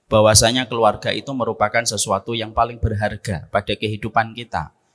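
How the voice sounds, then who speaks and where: Pitched fairly low, a man's voice moves along at a moderate speed. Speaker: Islamic preacher. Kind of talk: sermon.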